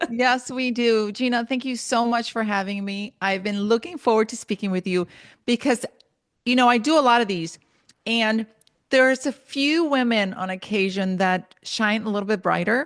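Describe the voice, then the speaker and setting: A slight Spanish accent in a dry, close sound with no echo, over a quiet background. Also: woman, fairly high pitch for a woman, ordinary pitch variation, moderate pace. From Honduras, moved to US at eight. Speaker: motivational speaker and writer. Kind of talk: podcast interview.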